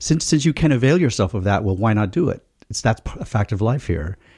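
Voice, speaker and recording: In a very clean recording with a silent background and a dry, close sound with no echo, a man with an American accent speaks at a fairly quick pace in a dark, mellow, somewhat breathy voice of medium pitch with lively intonation. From United States. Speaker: podcast panelist. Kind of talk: casual chat. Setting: studio.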